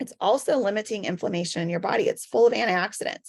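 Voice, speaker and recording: Against a quiet background, a woman talks fairly quickly in a medium pitch with ordinary pitch variation, an unremarkable speaking voice. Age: 40s. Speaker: wellness product promoter. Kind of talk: sales pitch.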